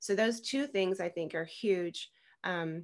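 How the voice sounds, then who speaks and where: A woman talks at a moderate pace with a fairly low pitch. The background is quiet. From US South (Tennessee). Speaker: podcast guest. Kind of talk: interview. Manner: halting. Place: home room. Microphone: video call.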